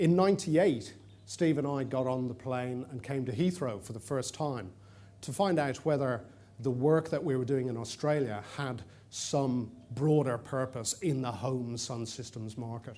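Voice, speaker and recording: In an Irish accent, a man with a dark, mellow tone talks at a moderate pace and medium pitch with ordinary pitch variation, and the room echo is audible. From Ireland, Dublin. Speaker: conference presenter. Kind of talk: conference presentation. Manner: hesitant with fillers.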